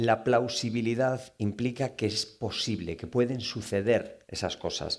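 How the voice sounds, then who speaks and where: Animated in tone, a man speaks with a Galician accent. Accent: Galician Spanish accent coming out. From Galicia, Spain. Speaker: novelist. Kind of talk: book talk Q&A with audience. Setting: live event with audience.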